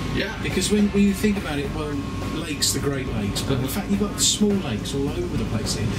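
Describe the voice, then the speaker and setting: Someone speaks at a very fast pace over loud music in the background. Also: man. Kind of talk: interview answer.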